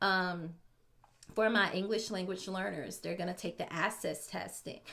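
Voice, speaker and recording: A woman speaks at a medium pitch with a bright, sharp tone. Her intonation is fairly even, with vocal fry. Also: moderate pace. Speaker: special education teacher. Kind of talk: tutorial. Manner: casual with many fillers.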